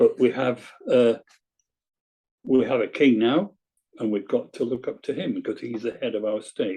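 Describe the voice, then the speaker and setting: A man with a Lincolnshire accent at a moderate pace. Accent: Scunthorpe Lincolnshire. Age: 80s+. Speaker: retired painter and inventor. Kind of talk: casual interview.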